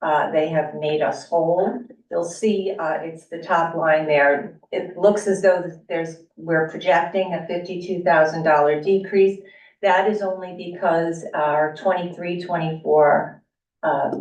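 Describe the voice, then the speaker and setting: There is audible room echo around a woman who talks at a fairly slow pace in a fairly low pitch. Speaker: school district finance administrator. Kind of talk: budget presentation at public meeting. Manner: formal, with frequent fillers.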